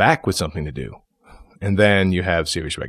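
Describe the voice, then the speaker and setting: Speaking fairly quickly with an upstate New York accent, a man with a very deep, low pitch shows ordinary pitch variation. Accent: upstate New York American. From New York, Syracuse. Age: 40s. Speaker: actor. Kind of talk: casual interview.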